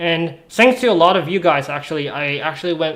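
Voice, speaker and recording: A man's plain, everyday voice, fairly high-pitched and at a fairly quick pace. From Canada, West Coast (British Columbia). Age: 20s. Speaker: streamer. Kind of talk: casual chat. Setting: live stream.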